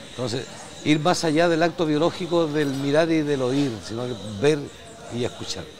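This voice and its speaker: A man's fairly high voice with ordinary pitch variation at a moderate pace, long and frequent pauses, audible room echo and noticeable background noise. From northern Chile, Arica. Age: 70s. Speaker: writer and storyteller. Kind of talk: interview.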